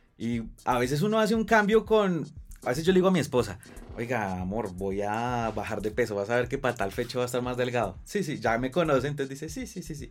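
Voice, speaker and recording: Music plays behind a man who speaks very fast at medium pitch, his pitch swinging very widely. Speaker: podcast host. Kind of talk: scripted intro narration; casual interview chat. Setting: studio.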